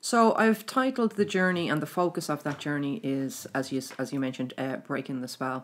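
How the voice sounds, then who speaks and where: The speaker talks at a moderate pace in an Irish accent, with very wide pitch swings and hardly any pauses. The recording is very clean, with a silent background. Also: woman, very deep, low pitch for a woman. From Ireland. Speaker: spiritual teacher running a mystery school. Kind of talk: casual interview chat about spirituality. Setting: recorded in Trim, Ireland.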